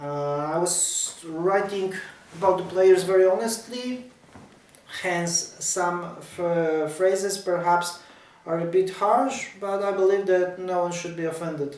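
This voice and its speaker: With a Polish accent, a man talks at a fairly slow pace in a high pitch with fairly even intonation, audible room echo and noticeable background noise. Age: 40s. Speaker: tennis writer. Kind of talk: casual talk to camera about his ebook. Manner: halting.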